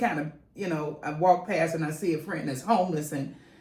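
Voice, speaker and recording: There is noticeable background noise as a woman speaks at a moderate pace. Her pitch is fairly low and her intonation fairly even. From West Side of Chicago. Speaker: community leader, nonprofit founder. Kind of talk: interview answer.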